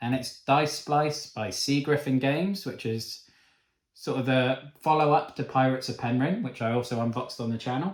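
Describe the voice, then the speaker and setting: A man with a Cornish accent at a fairly quick pace, ordinary pitch variation, and audible room echo. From Cornwall, England. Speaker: board game reviewer. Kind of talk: unboxing video. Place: home room. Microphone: camera far.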